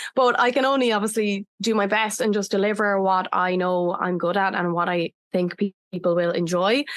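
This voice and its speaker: Over a quiet background, a woman in an Irish accent speaks at a moderate pace and medium pitch, with ordinary pitch variation and very even loudness. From Ireland. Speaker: breathwork facilitator. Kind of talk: podcast interview.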